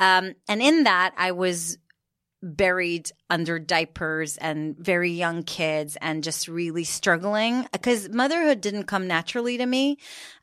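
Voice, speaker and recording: In a very clean recording with a silent background, a woman with an American accent speaks at a fairly slow pace and medium pitch. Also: lively intonation. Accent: American-sounding. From Israel, Jerusalem. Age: 40s. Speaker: author and social media influencer. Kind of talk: casual interview chat.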